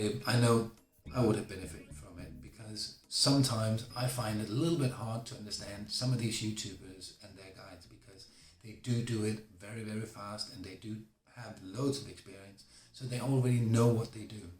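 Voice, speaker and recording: A man's medium-pitched, somewhat breathy voice at a fairly quick pace, with ordinary pitch variation and big swings in loudness. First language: not English. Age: 40s. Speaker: beginner YouTuber. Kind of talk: casual vlog talk to camera.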